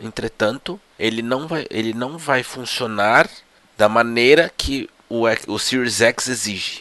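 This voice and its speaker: A man speaks at a very slow pace in a bright, sharp tone with ordinary pitch variation. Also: medium pitch for a man. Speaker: gaming podcast host. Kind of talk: solo tech news commentary. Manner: slower than usual.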